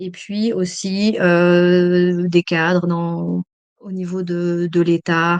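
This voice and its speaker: A woman with medium pitch against a quiet background. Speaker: emergency psychologist and trainer. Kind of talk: webinar lecture. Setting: online webinar. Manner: hesitant, many fillers.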